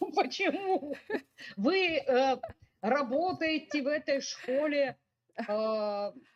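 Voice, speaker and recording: Speaking in a Russian accent, a woman with a high pitch talks at a very slow pace with lively intonation and long, frequent pauses. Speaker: forum moderator. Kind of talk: panel discussion questions. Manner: halting.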